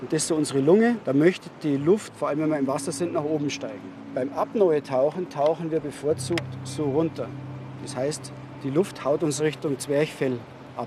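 A man with a fairly high voice speaks at a moderate pace. Noticeable background noise sits behind his ordinary pitch variation. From Bavaria, Neubiberg near Munich. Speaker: freediving instructor. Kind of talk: tutorial.

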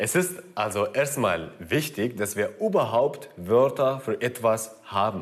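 Speaking with a Kurdish accent, a man talks at a very slow pace and medium pitch with lively intonation and hardly any pauses. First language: Kurdish (speaking German). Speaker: actor and video presenter. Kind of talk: educational video presenting.

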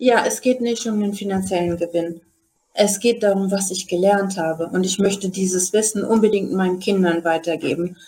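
A woman's medium pitch in an unremarkable speaking voice, fairly even in intonation, at a moderate pace. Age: 40s. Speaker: day trader and retail investor. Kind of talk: casual chat. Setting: video call.

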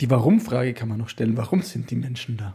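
Fast and lively in intonation, a man talks at a medium pitch, his dark, mellow tone carrying a husky, rough edge and vocal fry.

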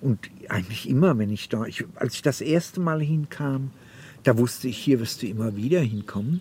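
A man with a somewhat breathy, dark, mellow tone speaks at a moderate pace with lively intonation. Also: medium pitch for a man. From Oberhessen, Germany (born in Bohemia). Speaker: novelist. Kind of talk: interview narration.

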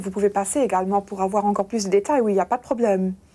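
A woman speaks in a Luxembourgish accent with a dark, mellow tone and ordinary pitch variation. The recording is very clean, with a silent background. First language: Luxembourgish (speaking French). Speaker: bank press officer. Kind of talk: interview.

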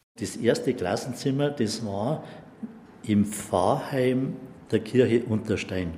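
Medium-pitched male voice at a very slow pace, with ordinary pitch variation, long, frequent pauses and noticeable background noise. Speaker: eyewitness neighbour. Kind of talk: interview testimony. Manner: halting.

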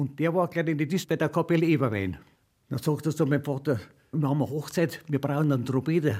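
A man's fairly high, somewhat breathy voice at a very fast pace, in a very clean recording with a silent background. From Upper Bavaria, Freising. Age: 90s. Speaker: retired trumpeter and folk musician. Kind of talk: interview. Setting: at home.

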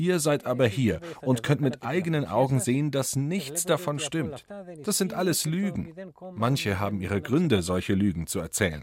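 A man's medium-pitched voice with vocal fry, very wide pitch swings, and a moderate pace. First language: Greek (speaking German). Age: 60s. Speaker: skipper and activist. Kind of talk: interview. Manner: dubbed voice-over translation.

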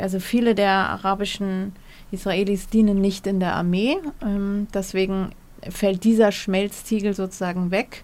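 A woman speaks at a fairly slow pace with long, frequent pauses. Her intonation is monotone and flat. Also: medium pitch for a woman. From Germany, Munich. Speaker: historian and journalist. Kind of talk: interview. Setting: remote link from studio.

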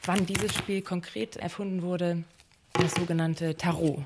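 Amid noticeable background noise, a woman speaks in a fairly low pitch with monotone, flat intonation. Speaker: radio play author and game leader. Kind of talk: radio play conversation. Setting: studio. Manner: sudden shifts between loud and soft; erratic, jumpy delivery.

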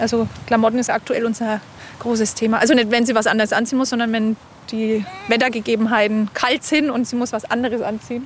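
Amid noticeable background noise, a woman with a fairly high pitch speaks very fast in a flat monotone. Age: 30s. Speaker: stay-at-home mother. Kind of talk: casual chat. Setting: outdoors at a lake.

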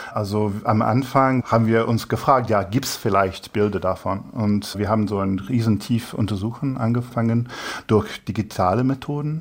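The man keeps a medium pitch and fairly even intonation, talking at a moderate pace. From England. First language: English (speaking German). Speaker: human rights researcher. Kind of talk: interview answers. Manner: halting.

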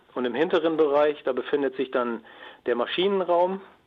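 At a fairly quick pace, a man talks with ordinary pitch variation.

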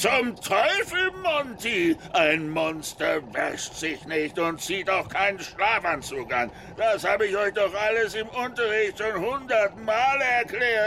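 Put-on character voice from a man, high-pitched and fairly slow, with clear background noise. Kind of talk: comic overacting. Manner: bossy, jolly, exuberant.

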